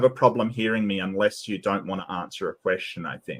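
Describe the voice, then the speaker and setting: A man talks at a moderate pace with an Australian accent. His pitch is fairly low. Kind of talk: debate. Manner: halting, many fillers.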